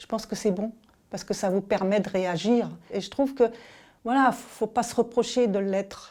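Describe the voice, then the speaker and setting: A woman with a fairly high pitch speaks at a moderate pace with big swings in loudness. Long, frequent pauses break up her speech in a very clean recording over a silent background. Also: fairly even intonation. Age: 60s. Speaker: paralympic athlete and business executive. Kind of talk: interview testimony. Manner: hesitant, many fillers and restarts.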